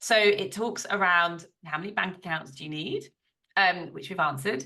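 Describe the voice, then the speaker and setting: A woman with a British accent talks at a moderate pace in a bright, sharp tone. Her pitch is fairly low, and the background is quiet. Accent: British, fully retained. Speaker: business coach and accountant. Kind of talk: podcast interview. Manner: animated.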